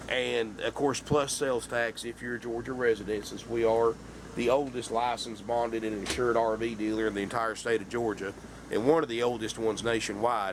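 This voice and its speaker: Over noticeable background noise, a man with a Southern US accent speaks at a fairly quick pace and medium pitch in monotone, flat intonation. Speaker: RV salesman. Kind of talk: sales pitch. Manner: casual, folksy.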